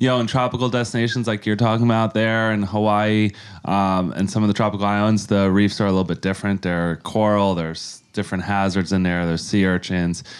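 Fairly low-pitched man, a normal speaking voice, fairly quick pace with hardly any pauses, fairly even intonation, very clean recording and silent background. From New York (Yonkers). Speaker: charity leader. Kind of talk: interview.

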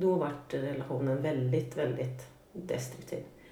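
A woman speaks with ordinary pitch variation. The room echo is audible, and there is noticeable background noise. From Sweden, Norrköping. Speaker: guest sharing life story. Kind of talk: personal testimony in interview.

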